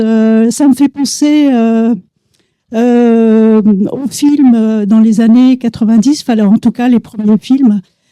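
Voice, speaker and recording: In a dry, close sound with no echo, a woman with a fairly high pitch speaks in a dark, mellow tone with fairly even intonation. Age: 60s. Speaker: audience member. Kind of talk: audience question. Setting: cinema with audience. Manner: halting.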